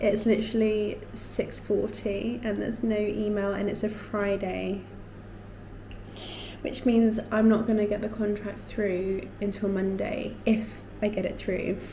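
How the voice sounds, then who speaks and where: With an English accent, the speaker delivers a monotone, flat line at a fairly slow pace. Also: woman, medium pitch for a woman. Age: 20s. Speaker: lifestyle vlogger. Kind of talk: casual talk to camera.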